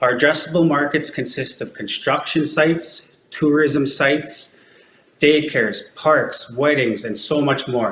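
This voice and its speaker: Over noticeable background noise, a man with a western Canadian accent speaks at a fairly slow pace in a fairly high pitch with ordinary pitch variation. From Alberta, Canada (Métis settlement). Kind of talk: business pitch; Q&A with judges. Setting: pitch competition with judges. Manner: scripted, rehearsed delivery.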